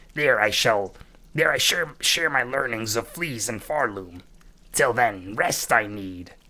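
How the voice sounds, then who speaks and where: A man puts on a character voice at a medium pitch. It is gruff, growling and raspy. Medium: game stream. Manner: gruff, broken grammar, growling.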